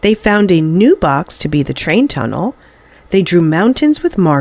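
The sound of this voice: A reading voice that is unforced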